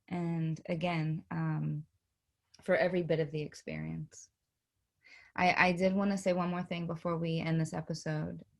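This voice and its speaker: Speaking with an East Coast US accent, a woman uses a fairly low pitch and flat, monotone intonation at a moderate pace, with long, frequent pauses, in a very clean recording with a silent background. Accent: East Coast US twang. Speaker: podcast co-host. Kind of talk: casual chat. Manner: halting, many repeated words.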